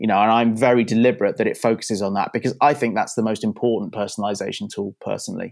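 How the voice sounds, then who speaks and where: Speech comes at a very fast pace with hardly any pauses and fairly even intonation. The recording is very clean, with a silent background. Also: man, medium pitch for a man. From UK. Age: 40s. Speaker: tech company founder, former radio producer. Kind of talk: interview.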